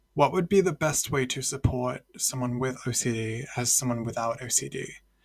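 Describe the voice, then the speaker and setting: The man's voice is somewhat breathy. He talks at a moderate pace, pitched in the medium range. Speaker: student podcast host. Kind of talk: interview and scripted narration. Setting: recorded podcast at microphone. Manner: monotone; deadpan sarcastic delivery.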